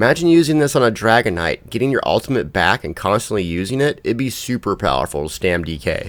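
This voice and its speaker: Vocal fry runs through this very fast delivery, which has hardly any pauses and very wide pitch swings. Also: man, medium pitch for a man. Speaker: gaming YouTuber. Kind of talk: game guide commentary.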